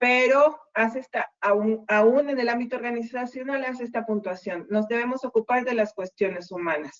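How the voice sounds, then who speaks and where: A woman with a normal speaking voice talks at a fairly high pitch and a moderate pace, with hardly any pauses. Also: ordinary pitch variation. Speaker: university lecturer. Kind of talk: online lecture. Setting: video call.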